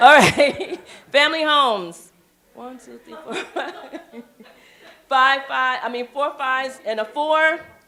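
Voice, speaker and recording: Speaking in a raised, projected voice, a woman with a high pitch and ordinary pitch variation talks at a fairly slow pace, with big swings in loudness and long, frequent pauses. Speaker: meeting facilitator. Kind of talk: group meeting facilitation.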